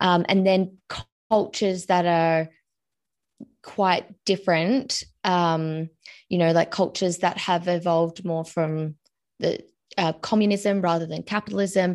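A woman with an Australian accent speaks in a fairly low pitch and fairly even intonation. She takes long, frequent pauses over a quiet background. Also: fairly slow pace. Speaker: money coach. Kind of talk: interview.

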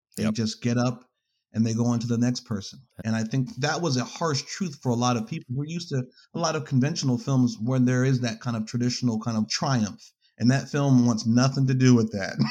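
A man with an American accent speaks at a fairly quick pace in a dark, mellow tone. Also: medium pitch for a man, ordinary pitch variation. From New York. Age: 30s. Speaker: filmmaker and photographer. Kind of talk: casual interview.

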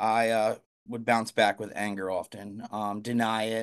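A man's medium-pitched voice with an American accent and monotone, flat intonation, over a quiet background. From Philadelphia suburbs, Pennsylvania. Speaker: nonprofit worker in recovery. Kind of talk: recovery testimony. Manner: halting, many fillers.

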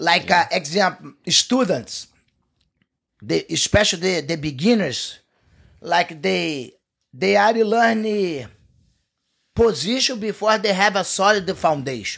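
Speaking with a Portuguese accent at a fairly slow pace, a man uses a high pitch and lively intonation, leaving long, frequent pauses. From Brazil. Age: 50s. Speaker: jiu-jitsu coach. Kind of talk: casual chat. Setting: studio.

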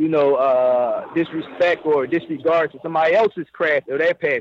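Here a man with an unremarkable speaking voice talks at a moderate pace. His pitch is fairly high and his intonation fairly even. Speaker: rapper. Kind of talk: interview.

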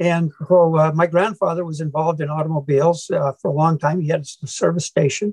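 A man with a Midwestern US accent speaks at a fairly quick pace with a fairly high pitch and hardly any pauses. His intonation is monotone and flat, and the sound is dry and close with no echo. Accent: US Midwest. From Iowa, US Midwest. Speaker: former car club president, car collector. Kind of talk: podcast interview.

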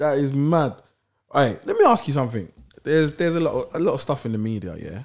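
Speaking at a very fast pace, a man with a London accent uses lively intonation and a fairly high pitch, captured on a very clean recording with a silent background. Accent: London Multicultural English. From south London. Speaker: podcast co-host. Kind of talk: casual interview chat.

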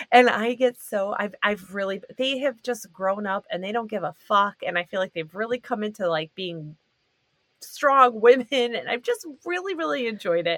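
A plain, everyday voice moves at a moderate pace with lively intonation. The sound is dry and close, with no echo. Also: woman, fairly high pitch for a woman. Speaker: guest. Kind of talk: casual chat.

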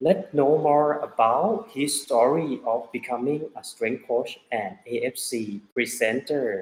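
A man speaks with a Thai accent. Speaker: podcast host and triathlon coach. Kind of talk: interview.

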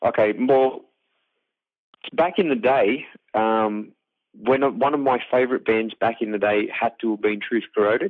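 Talking with an Australian accent, a man of medium pitch goes at a fairly slow pace with long, frequent pauses and ordinary pitch variation. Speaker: metal band singer and bassist. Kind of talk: interview. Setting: phone call.

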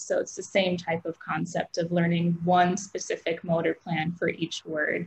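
In a Midwestern American accent, a woman with a fairly low pitch speaks at a fairly slow pace. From US Midwest, Aurora, Illinois. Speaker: speech pathologist. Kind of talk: interview.

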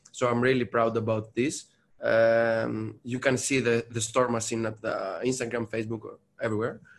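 Someone with a Greek accent speaks at a moderate pace in a monotone, flat intonation. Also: man, medium pitch for a man. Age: 30s. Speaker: barista champion. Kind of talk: interview.

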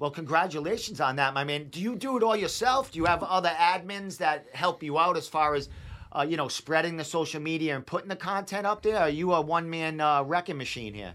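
With an American accent, a man talks at a fairly quick pace, his fairly high voice fairly bright in tone and lively in intonation.

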